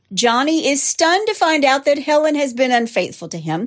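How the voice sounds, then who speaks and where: On a very clean recording with a silent background, a woman speaks in a Southern US accent. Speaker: true crime podcast host. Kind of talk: true-crime narration, steady storytelling read with dramatic, conversational asides. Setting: studio. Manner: animated.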